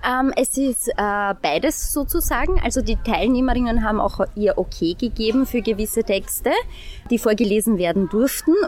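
Against noticeable background noise, a woman speaks at a moderate pace in a fairly high pitch, with lively intonation and very even loudness. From St. Pölten, Austria. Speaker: workshop participant. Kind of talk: interview. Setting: outdoor festival.

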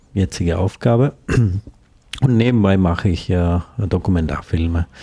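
Very deep and low, the man's voice has a dark, mellow tone and fairly even intonation, captured with a dry, close sound and no echo. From India, Kerala. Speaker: documentary filmmaker, former journalist. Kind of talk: interview. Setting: studio. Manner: halting.

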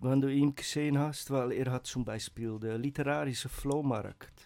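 A man talks with a Dutch accent. His pitch sits in the medium range, with ordinary variation. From Netherlands. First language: Dutch (speaking German). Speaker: writer and poet. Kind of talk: casual radio chat. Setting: radio studio.

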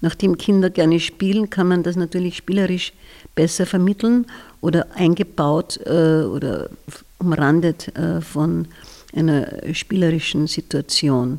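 A woman's dark, mellow tone, fairly low in pitch, at a fairly slow pace with very even loudness. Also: ordinary pitch variation. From Austria, southern Styria (Bad Radkersburg). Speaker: retired kindergarten teacher. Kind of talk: interview.

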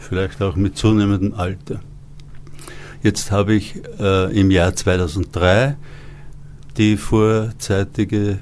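Long pauses come often as the speaker talks at a very slow pace. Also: man. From Upper Austria. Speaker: author and actor. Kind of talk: interview.

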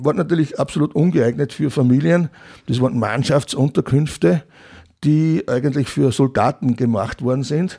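On a very clean recording with a silent background, a man with a medium pitch and a dark, mellow tone speaks at a moderate pace with ordinary pitch variation. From Austria, Upper Austria (Mühlviertel, near Freistadt). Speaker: retired museum director and local historian. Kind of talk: interview. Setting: studio.

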